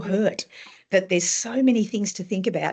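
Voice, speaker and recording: Somewhat breathy and dark, mellow in tone, a woman with an Australian accent speaks at a medium pitch with ordinary pitch variation. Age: 60s. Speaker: author. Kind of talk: interview.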